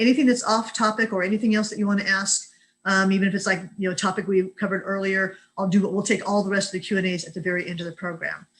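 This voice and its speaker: A woman at medium pitch talks very fast in a somewhat breathy voice. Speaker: employment lawyer. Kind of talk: webinar lecture. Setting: video call.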